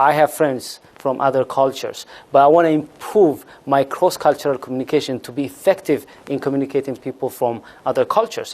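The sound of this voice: A man's slightly mellow voice at medium pitch, fairly quick, with ordinary pitch variation and few pauses.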